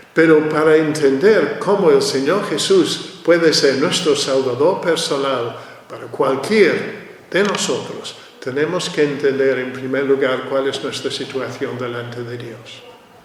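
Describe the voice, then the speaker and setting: A man at a fairly high pitch and fairly slow pace, with ordinary pitch variation, big swings in loudness, noticeable background noise, and audible room echo. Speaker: preacher. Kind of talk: sermon. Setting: church.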